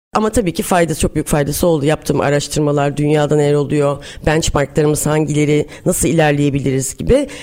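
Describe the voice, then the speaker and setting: A woman's very deep, low voice at a fairly quick pace, with fairly even intonation and very even loudness. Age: 40s. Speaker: startup founder. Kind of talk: interview.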